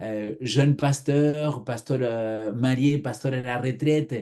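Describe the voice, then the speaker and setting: Medium in pitch, this man's voice has a dark, mellow tone. He speaks at a very slow pace. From Argentina. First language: Spanish (speaking French). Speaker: pastor. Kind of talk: interview testimony.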